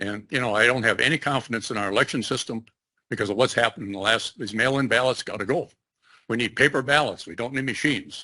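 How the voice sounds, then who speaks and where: The voice has a bright, sharp tone and ordinary pitch variation at a very fast pace. The background is quiet. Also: man. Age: 70s. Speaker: public commenter. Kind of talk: public comment.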